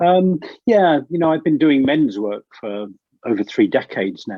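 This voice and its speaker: Speaking at a moderate pace, this man has an English accent. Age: 60s. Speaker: leadership coach. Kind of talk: interview conversation. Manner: halting.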